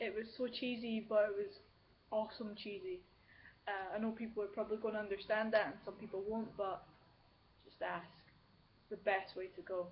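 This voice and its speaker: Her voice somewhat breathy, a woman speaks with long, frequent pauses and big swings in loudness. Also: fairly quick pace. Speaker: video blogger. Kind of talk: casual chat. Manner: halting.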